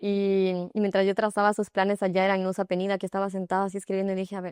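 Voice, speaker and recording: At a very fast pace, a woman speaks in a medium pitch with monotone, flat intonation, recorded very cleanly against a silent background with a dry, close sound and no echo. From Ecuador. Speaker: yoga instructor. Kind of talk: interview.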